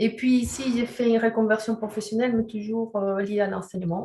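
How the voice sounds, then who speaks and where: A woman speaks at a moderate pace and medium pitch, somewhat breathy. Her tone is dark and mellow, her intonation monotone and flat. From Chile. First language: Spanish (speaking French). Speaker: sexology and resilience counselor. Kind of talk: webinar presentation. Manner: hesitant, many fillers.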